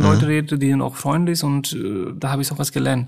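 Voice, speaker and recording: A man with a non-native accent talks at a fairly high pitch. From Nepal. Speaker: hospital doctor. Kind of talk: interview. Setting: remote line.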